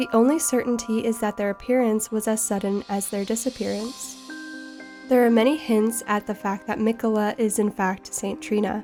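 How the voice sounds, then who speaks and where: A woman's fairly high voice at a moderate pace, with fairly even intonation and music in the background. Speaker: video game lore narrator. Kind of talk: game lore narration.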